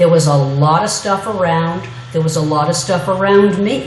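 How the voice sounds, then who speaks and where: A woman's fairly low-pitched, animated voice amid noticeable background noise and audible room echo. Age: 60s. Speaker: media historian and former radio music director. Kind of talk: guest lecture. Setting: classroom lecture. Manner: animated, conversational.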